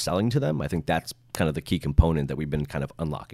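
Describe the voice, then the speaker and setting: On a very clean recording over a silent background, a man rattles along at a very fast pace. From New York (Westchester), moved to San Diego as a teen. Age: 20s. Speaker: streetwear designer and brand founder. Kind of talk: casual interview.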